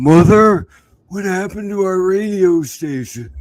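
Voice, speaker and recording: Using a put-on character voice, a man speaks at a moderate pace with a high pitch. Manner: quavering, plaintive.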